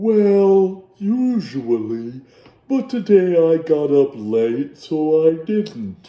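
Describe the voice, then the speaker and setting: A man puts on a character voice, fairly high-pitched and full of very wide pitch swings. He speaks at a very slow pace. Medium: read story.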